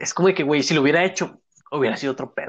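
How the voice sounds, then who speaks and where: A man talks at a very fast pace with a Mexican accent. His pitch varies in an ordinary way. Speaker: podcast co-host. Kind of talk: casual chat.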